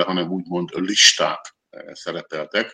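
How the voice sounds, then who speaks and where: This is a man's voice. Its tone is bright and sharp. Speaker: journalist. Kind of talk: panel discussion. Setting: studio.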